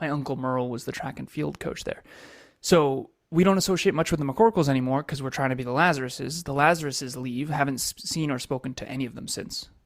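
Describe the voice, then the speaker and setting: On a very clean recording with a silent background, a man with an American accent talks at a very fast pace and a fairly high pitch, with ordinary pitch variation and big swings in loudness. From Massachusetts. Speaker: entrepreneur and coach. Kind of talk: interview life story.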